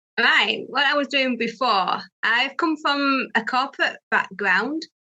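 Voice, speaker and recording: With a Yorkshire accent, a woman projects a raised, high-pitched voice with a bright, sharp tone, lively intonation, very even loudness and a fairly slow pace. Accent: Barnsley (Yorkshire). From northern England, Barnsley, South Yorkshire. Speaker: pet sitting business owner. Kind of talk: interview.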